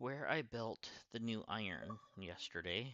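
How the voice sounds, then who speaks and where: Here a man talks at a medium pitch. His tone is bright and sharp. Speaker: gaming streamer. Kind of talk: live gameplay stream chat. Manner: quieter than usual, subdued.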